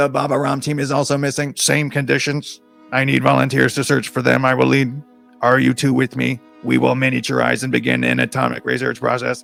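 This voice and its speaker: A put-on character voice sounds robotic and raspy at a fairly quick pace. Faint music plays in the background. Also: man. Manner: commanding, leading.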